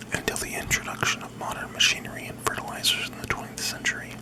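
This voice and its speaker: Against noticeable background noise, a man whispers at a fairly quick pace. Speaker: ASMR creator / host. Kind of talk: ASMR fact reading. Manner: whispered, soft-spoken.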